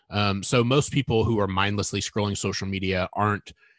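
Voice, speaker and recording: A man with an ordinary speaking voice, fairly low in pitch with ordinary pitch variation, at a fairly quick pace, with a dry, close sound with no echo and a quiet background. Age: 30s. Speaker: content marketing editor. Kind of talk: interview.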